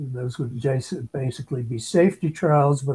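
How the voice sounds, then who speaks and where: A man talks at a moderate pace with fairly even intonation. His tone is dark and mellow, and somewhat breathy. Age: 70s. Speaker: aging researcher. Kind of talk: interview. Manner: halting. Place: home room. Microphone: video call.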